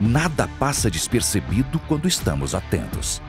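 A man speaking at a fairly slow pace with very wide pitch swings, music in the background. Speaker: voice-over artist. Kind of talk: TV promo read.

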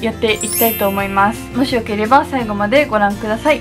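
A woman talks at a moderate pace while clear music plays behind her. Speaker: beauty vlogger. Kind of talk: casual vlog chat. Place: home room.

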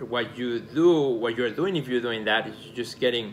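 A man at a moderate pace over light background noise. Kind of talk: casual advice talk to camera. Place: home room.

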